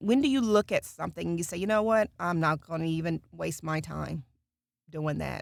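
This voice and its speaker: The recording is very clean, its background silent. A woman talks at a moderate pace. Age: middle-aged. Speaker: voice actor. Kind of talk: casual chat. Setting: recording booth.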